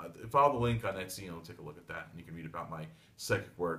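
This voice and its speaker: Very fast delivery with lively intonation and audible room echo. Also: man. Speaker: tarot reader / psychic. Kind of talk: solo video monologue (daily tarot reading). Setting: home reading desk, filmed video. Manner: blunt.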